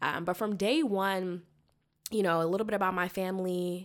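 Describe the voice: This woman has a fairly low pitch and a slight Southern US accent, talking at a moderate pace with fairly even intonation. The recording is very clean, with a silent background. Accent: American, slight Southern twang.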